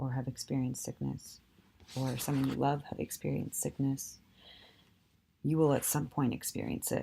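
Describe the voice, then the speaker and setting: Moderate pace broken by long, frequent pauses. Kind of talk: casual talk to camera.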